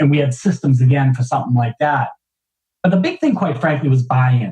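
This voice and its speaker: In a Boston accent, a man talks at a fairly quick pace in a fairly high, somewhat breathy voice with ordinary pitch variation. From Boston, US. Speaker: business executive. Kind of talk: interview. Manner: halting, many fillers.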